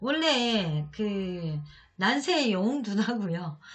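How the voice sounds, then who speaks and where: A woman speaks in a medium pitch with lively intonation. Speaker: real estate auction consultant. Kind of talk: tutorial.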